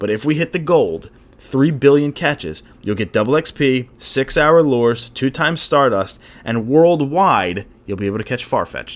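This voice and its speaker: Using a plain, everyday voice, a man speaks at a fairly high pitch and moderate pace with lively intonation. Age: 20s. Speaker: podcast host. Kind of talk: casual chat.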